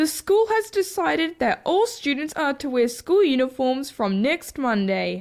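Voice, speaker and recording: This cartoonish character voice is high-pitched with very wide pitch swings, moving at a moderate pace with hardly any pauses. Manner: flat, stilted.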